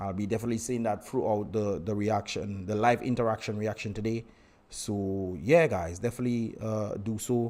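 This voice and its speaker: A man speaks at a fairly low pitch with fairly even intonation. His tone is dark and mellow. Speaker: livestream host and political commentator. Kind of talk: live stream chat. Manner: fast.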